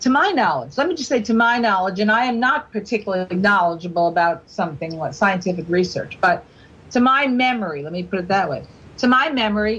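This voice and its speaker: The woman's pitch sits fairly high and swings very widely. She speaks at a fairly quick pace. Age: 60s. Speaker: guest on talk radio, government critic. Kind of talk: radio talk show discussion. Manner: animated.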